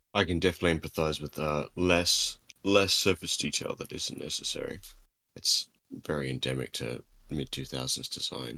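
This man talks at a fairly quick pace in an Australian accent, his bright, sharp tone edged with vocal fry. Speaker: podcast co-host. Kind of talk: casual chat.

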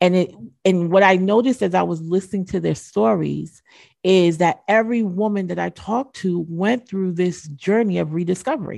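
A woman speaks at a moderate pace with a medium pitch and ordinary pitch variation. Her tone is dark and mellow, against a quiet background. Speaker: author and ministry podcaster. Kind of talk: casual interview chat.

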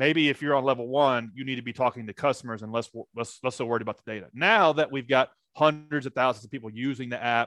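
A man talks very fast at medium pitch with a bright, sharp tone, fairly even intonation and big swings in loudness. The recording is dry and close with no echo and a quiet background. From US South, Nashville, Tennessee. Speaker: startup founder and CEO. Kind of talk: interview.

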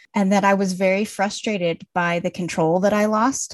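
A woman with an American accent and a plain, everyday voice, medium in pitch, at a fairly slow pace with fairly even intonation, in a dry, close sound with no echo. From Colorado, US. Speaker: author and book editor. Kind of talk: interview.

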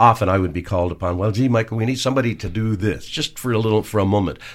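A man speaks with a Canadian accent and ordinary pitch variation. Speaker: singer-songwriter. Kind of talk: casual interview. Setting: radio studio. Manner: hesitant, many fillers.

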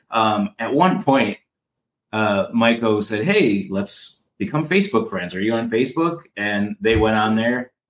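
A man with a normal speaking voice, medium pitch, lively intonation and a fairly slow pace. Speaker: mushroom enthusiast. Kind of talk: casual chat.

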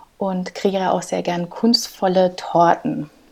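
Noticeable background noise behind a woman's very slow delivery. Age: 30s. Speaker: clinical research associate. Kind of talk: interview.

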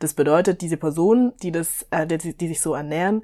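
The recording is very clean, with a silent background. A woman speaks in a fairly low, dark, mellow voice with ordinary pitch variation. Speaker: podcast co-host on fitness and nutrition. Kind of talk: casual chat.

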